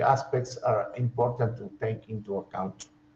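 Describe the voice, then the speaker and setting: A man's very slow, somewhat breathy voice with a Spanish accent. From Argentina. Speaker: professor. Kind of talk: lecture. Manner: halting.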